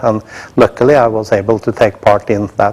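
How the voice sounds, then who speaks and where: Speaking fairly quickly with a Norwegian accent, a man keeps his intonation fairly even. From Norway. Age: 60s. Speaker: company executive. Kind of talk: introductory speech to staff. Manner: halting, many filler sounds.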